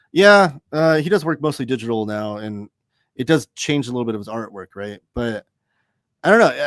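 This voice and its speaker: On a very clean recording with a silent background, a man talks at a moderate pace with very wide pitch swings in a dry, close sound with no echo. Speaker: comics reviewer, live show host. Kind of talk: live stream chat reading viewer comments. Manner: mumbles sometimes; casual, hesitant with fillers.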